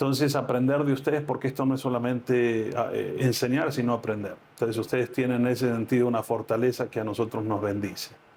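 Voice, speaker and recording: A man speaks very fast at a medium pitch, with very even loudness, fairly even intonation and hardly any pauses. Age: 60s. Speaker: pastor. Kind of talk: interview. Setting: on location at a ministry in Medellín.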